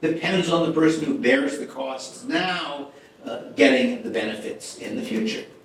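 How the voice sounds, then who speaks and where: A man with an American accent speaks at a fairly slow pace with very wide pitch swings. Audible room echo and noticeable background noise are present. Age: 80s+. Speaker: economist giving a lecture. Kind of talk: lecture. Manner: halting, with many repetitions and fillers.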